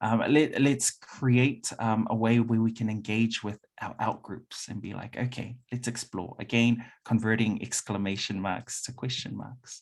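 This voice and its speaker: A man with a New Zealand accent, medium pitch and monotone, flat intonation, at a fairly slow pace with big swings in loudness. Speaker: workshop presenter. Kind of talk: conference talk.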